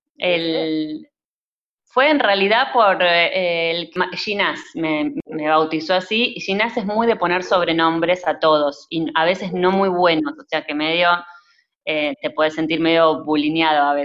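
A woman with a normal speaking voice and a fairly low pitch talks at a fairly slow pace with lively intonation. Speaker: cinematographer. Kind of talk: interview.

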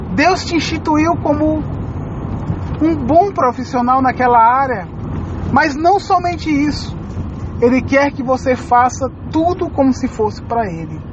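A woman with a high pitch talks at a very slow pace in a solemn tone, her pitch varying in an ordinary way over noticeable background noise. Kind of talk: sermon. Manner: earnest, pleading, pastoral appeal to the listener; solemn, moving into prayer at the close.

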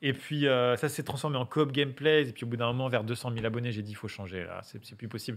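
In a very clean recording with a silent background, a normal speaking voice moves at a fairly quick pace. The pitch varies an ordinary amount. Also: man. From western France, Angers area. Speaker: YouTuber. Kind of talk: casual chat.

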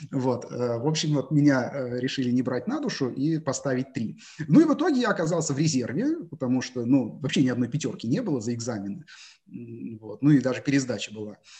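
Speaking at a fairly quick pace, a man has a medium pitch and ordinary pitch variation. His tone is dark and mellow, and somewhat breathy. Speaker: math teacher and research mathematician. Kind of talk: interview. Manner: hesitant, frequent filler sounds.

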